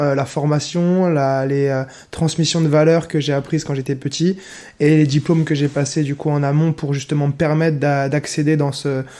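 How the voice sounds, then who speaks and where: A man's fairly high pitch, dark and mellow in tone, with monotone, flat intonation. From France, Lorraine (Nancy). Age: 20s. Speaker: semi-professional handball player and entrepreneur. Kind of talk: podcast interview. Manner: hesitant, many fillers.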